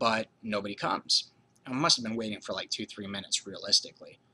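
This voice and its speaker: Using a put-on character voice, a man talks raspily at medium pitch and a very fast pace. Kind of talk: personal ghost story. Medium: solo performance. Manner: rambling, casual, frequent fillers, swearing.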